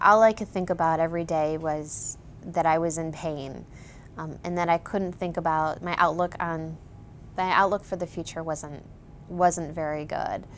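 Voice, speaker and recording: A woman with an American accent, fairly low pitch, monotone, flat intonation and a moderate pace. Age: 30s. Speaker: patient. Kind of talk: testimony. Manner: halting.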